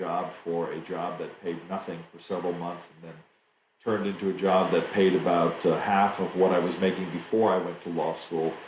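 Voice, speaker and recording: Speaking at a moderate pace with an American accent, a man with a very deep, low voice keeps a monotone, flat delivery while audible room echo surrounds him. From Germany. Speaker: trade association executive. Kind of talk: interview. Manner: halting, many fillers.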